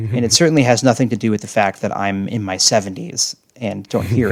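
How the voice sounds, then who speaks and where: Very fast talking from a man, fairly low in pitch, with ordinary pitch variation. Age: middle-aged. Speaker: podcast host, former cult member. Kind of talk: casual chat.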